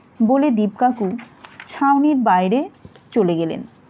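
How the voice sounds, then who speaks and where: Over noticeable background noise, this woman talks with lively intonation. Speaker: audiobook narrator. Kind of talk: detective novel reading. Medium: read story.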